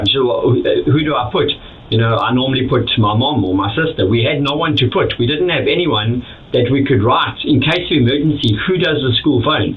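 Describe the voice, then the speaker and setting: Speaking at a fairly quick pace, a man keeps a medium pitch, ordinary pitch variation and very even loudness. Audible room echo and noticeable background noise fill the recording. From South Africa. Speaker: immigrant business owner. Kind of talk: interview. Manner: halting, many repeated words.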